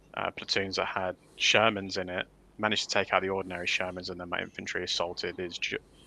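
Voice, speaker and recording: A very fast man with a Leicester accent and a very deep, low pitch, on a very clean recording with a silent background. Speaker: wargaming tournament organiser. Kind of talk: casual livestream chat.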